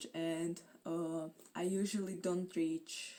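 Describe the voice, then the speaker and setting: A woman with a non-native accent, medium in pitch, with a dark, mellow tone. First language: not English. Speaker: booktuber. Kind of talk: casual vlog chat.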